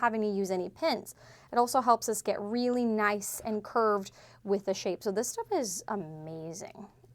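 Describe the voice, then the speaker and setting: This woman's voice is fairly high in pitch. Her intonation is lively. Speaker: sewing instructor. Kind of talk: tutorial. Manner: fast.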